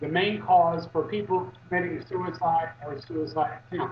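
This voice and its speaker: This man's voice sits high in pitch and moves at a very slow pace. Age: 60s. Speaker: activist. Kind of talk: interview. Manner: halting, many fillers.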